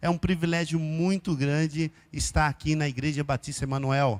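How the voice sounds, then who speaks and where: A man in a very clean recording with a silent background, the sound dry and close with no echo. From interior of São Paulo state, Brazil (Araraquara). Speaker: missionary pastor. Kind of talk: sermon. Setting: church.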